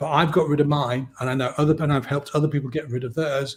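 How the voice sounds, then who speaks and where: A man with an English accent speaks fairly quickly in a fairly high, somewhat breathy voice with monotone, flat intonation. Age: 60s. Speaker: hypnotist. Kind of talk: podcast interview.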